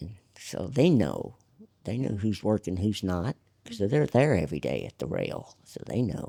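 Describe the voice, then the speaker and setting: In a Southern US accent, a man with a fairly low pitch and a dark, mellow tone uses vocal fry, very wide pitch swings and big swings in loudness. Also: moderate pace. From Arkansas. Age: 70s. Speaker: jockey. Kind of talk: casual chat. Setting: racetrack.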